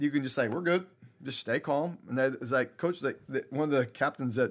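A man talks very fast at a fairly high pitch in a very clean recording with a silent background. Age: 40s. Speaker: high school football coach. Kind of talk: interview.

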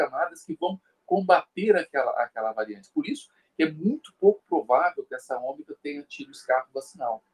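The recording is dry and close, with no echo. A man speaks at a moderate pace, his pitch swinging very widely. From Brazil, São Paulo. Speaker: guest commentator on health topics. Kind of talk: casual discussion.

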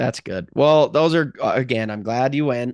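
A man with an animated, enthusiastic tone, lively intonation and a moderate pace against a quiet background. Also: dry, close sound with no echo. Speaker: podcast host. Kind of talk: casual sports podcast chat.

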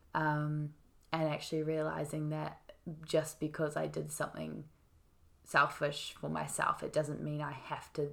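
Speaking with a New Zealand accent, a woman takes a rather unhurried pace. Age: 20s. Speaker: podcast guest. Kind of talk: casual conversation.

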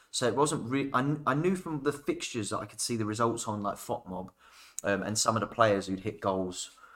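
A man with a British accent speaks at a fairly quick pace. The recording is very clean, with a silent background. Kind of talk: casual chat. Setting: in studio, in person.

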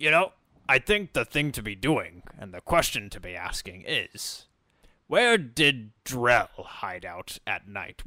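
In a put-on character voice, a man talks at a fairly slow pace with a fairly high pitch, very wide pitch swings and big swings in loudness, the sound dry and close with no echo. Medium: actual play. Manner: articulate, measured.

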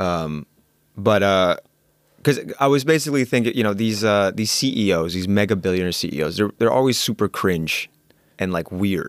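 A man with an American accent speaks at a moderate pace in a fairly low pitch, using an ordinary speaking voice. His intonation is lively, and the recording is very clean with a silent background. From New York City. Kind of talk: casual chat.

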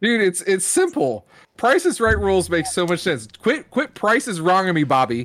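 A man with an American accent speaks in a high voice at a moderate pace. His pitch swings very widely. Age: 40s. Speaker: wrestling podcast co-host. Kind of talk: casual chat.

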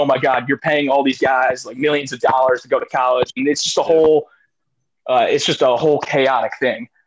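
Speaking at a fairly quick pace with an American accent, a man at medium pitch keeps a monotone, flat intonation, the sound dry and close with no echo. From Washington D.C. area. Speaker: grad student, podcast guest. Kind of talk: casual chat.

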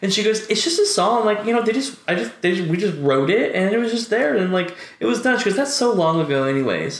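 Noticeable background noise sits behind a man talking at a high pitch and a very fast pace. His loudness stays very even while his intonation stays lively. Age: 20s. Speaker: cannabis podcast co-host. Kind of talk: casual chat. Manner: animated.

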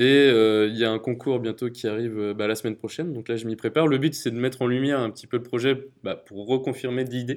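A man at medium pitch, fairly quick in pace, with fairly even intonation. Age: 20s. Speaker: startup founder. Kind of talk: interview testimony. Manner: hesitant, many fillers.

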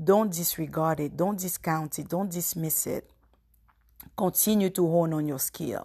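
Against a quiet background, a woman talks at a fairly slow pace in a somewhat breathy, fairly low voice with a dark, mellow tone. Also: ordinary pitch variation. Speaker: podcast host. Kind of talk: solo devotional talk. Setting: podcast recording. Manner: reflective, conversational.

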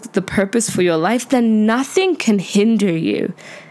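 Noticeable background noise accompanies a woman with a fairly high pitch. She speaks at a fairly slow pace with lively intonation. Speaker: podcast host. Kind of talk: casual solo talk. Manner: animated.

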